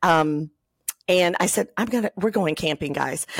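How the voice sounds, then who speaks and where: A woman's fairly low voice with ordinary pitch variation, in a dry, close sound with no echo. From southwest Michigan. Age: 50s. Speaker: podcast host. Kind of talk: casual interview chat. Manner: animated.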